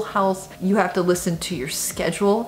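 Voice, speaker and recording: There is light background noise. Through it, a woman talks. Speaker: vlogger. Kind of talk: casual vlog chat. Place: home room.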